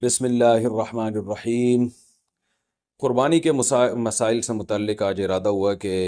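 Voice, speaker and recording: A man with a medium pitch and a dark, mellow tone speaks with fairly even intonation on a very clean recording with a silent background. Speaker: Islamic scholar giving a lecture. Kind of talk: religious lecture on Qurbani rulings. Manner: explanatory, lecture style.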